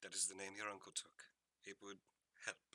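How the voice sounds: A man uses a put-on character voice with a low pitch and a bright, sharp tone. His pitch moves little, and his pace is moderate.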